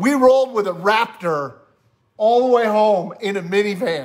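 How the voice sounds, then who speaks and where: Lively intonation marks this man's speech. He goes at a moderate pace over a quiet background. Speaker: church pastor co-host. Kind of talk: casual live-stream chat. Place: home room. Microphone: studio mic.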